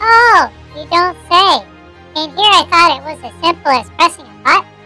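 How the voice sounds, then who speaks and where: Over music in the background, a squeaky put-on character voice at extremely high pitch speaks at a moderate pace. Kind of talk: sarcastic cartoon dialogue. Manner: sarcastic. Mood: sarcastic, dry.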